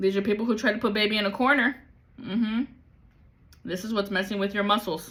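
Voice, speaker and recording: A woman with a fairly high pitch speaks at a very fast pace. Long pauses come often. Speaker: tarot reader. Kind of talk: spiritual reading livestream. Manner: animated.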